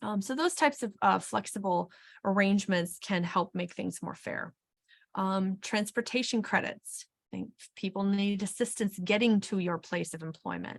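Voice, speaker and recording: Somewhat breathy, a woman talks at a moderate pace with ordinary pitch variation. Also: medium pitch for a woman. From Wisconsin. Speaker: HR consultant and webinar presenter. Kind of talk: webinar presentation. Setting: webinar.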